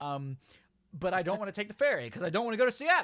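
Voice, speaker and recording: In an American accent, the voice is raised and projected with a bright, sharp tone. Its pitch swings very widely. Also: man. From US East Coast. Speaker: podcast host. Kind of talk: casual chat. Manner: animated.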